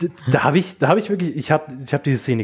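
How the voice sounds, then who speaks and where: A man's somewhat breathy, fairly high voice at a very fast pace, with lively intonation. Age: 20s. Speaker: film fan podcast guest. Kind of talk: casual chat.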